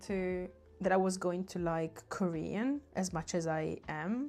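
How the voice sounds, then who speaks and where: Over music in the background, a woman talks at a fairly slow pace in a medium pitch. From southern Italy. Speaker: artist livestreamer. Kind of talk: casual livestream chat while painting.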